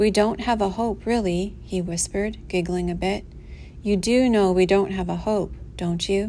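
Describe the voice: What we hear is plain reading aloud.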